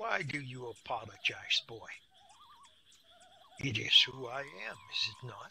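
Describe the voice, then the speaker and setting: In a put-on character voice, the speaker moves at a fairly slow pace with long, frequent pauses. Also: man, medium pitch for a man. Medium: read story. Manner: slow, stern, dry.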